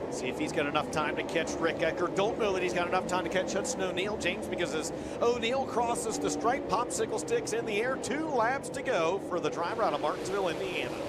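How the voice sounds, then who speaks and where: A man talks very fast in a high pitch with lively intonation, hardly pausing at all. Noticeable background noise is present. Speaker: race announcer. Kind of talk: live race commentary, rapid play-by-play call. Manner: fast talker; animated, urgent, excited at key moments.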